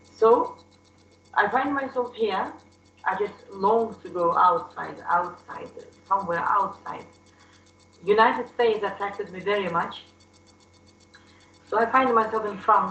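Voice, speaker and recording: With a non-native accent and ordinary pitch variation, a woman speaks with big swings in loudness and long, frequent pauses, while audible room echo fills the recording. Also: medium pitch for a woman. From Soviet Union. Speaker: class participant. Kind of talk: testimony. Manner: halting.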